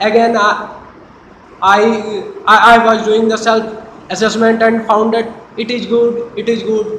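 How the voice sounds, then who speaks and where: Over noticeable background noise, a man talks fairly slowly in a high, flat, monotone voice with long, frequent pauses. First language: not English. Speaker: college student. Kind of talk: mock job interview answer. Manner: hesitant, stammering, not fluent.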